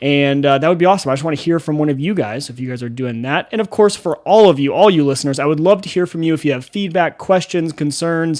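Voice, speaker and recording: The delivery is very fast over a quiet background. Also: man, fairly high pitch for a man, ordinary pitch variation. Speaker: podcast host. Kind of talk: casual podcast chat. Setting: home studio. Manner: loud.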